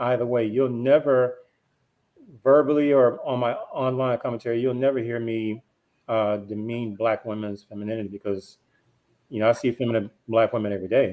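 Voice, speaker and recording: A man of medium pitch talks with a Memphis accent. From US South, Memphis, Tennessee. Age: 40s. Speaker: panelist on discussion show. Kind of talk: casual panel discussion.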